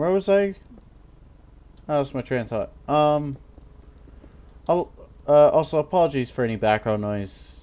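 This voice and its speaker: Marked by long, frequent pauses, a man speaks with lively intonation in a dark, mellow tone. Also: moderate pace. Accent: American. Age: 20s. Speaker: gaming YouTuber. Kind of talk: casual commentary while gaming. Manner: rambling, halting.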